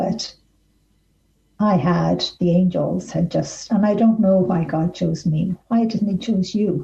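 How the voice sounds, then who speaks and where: A woman's very slow speech in an Irish accent, medium in pitch with a dark, mellow tone, vocal fry, fairly even intonation and very even loudness. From Ireland. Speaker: author. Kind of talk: interview answer. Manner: soft-spoken.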